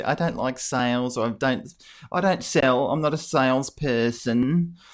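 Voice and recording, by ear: Over a very clean recording with a silent background, a man puts on a whiny character voice at medium pitch and a fairly slow pace.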